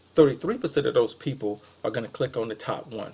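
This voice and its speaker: The man has a fairly high, somewhat breathy voice. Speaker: web marketing consultant. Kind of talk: recorded sales pitch to a business. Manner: casual with many fillers.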